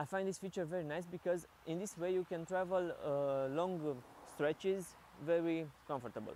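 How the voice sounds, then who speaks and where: A man with a Romanian accent speaks at a moderate pace in a high pitch. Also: ordinary pitch variation. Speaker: product reviewer. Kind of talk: product review. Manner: halting.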